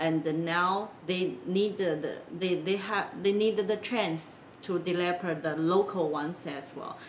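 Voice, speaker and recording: A woman with a Chinese accent speaks fairly slowly at a fairly low pitch. Her intonation is fairly even over noticeable background noise. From China, Wenzhou. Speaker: business consultant, company founder. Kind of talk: interview. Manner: halting, many fillers.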